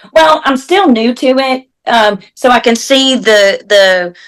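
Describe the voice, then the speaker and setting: With a Southern US accent, a woman sounds bright and sharp, her intonation lively. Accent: Southern US (Georgia). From US South, Georgia. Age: 40s. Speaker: equine massage therapist. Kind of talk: interview. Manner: halting.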